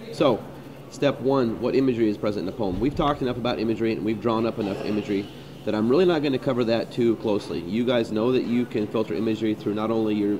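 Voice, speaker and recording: Over noticeable background noise, a man talks very fast at a medium pitch with ordinary pitch variation. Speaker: high school English teacher. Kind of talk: tutorial. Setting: coffee shop screencast. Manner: halting, many fillers. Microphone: poor sound quality.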